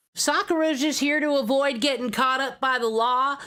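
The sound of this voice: Someone drawls in a put-on character voice at a moderate pace. The recording is very clean, with a silent background.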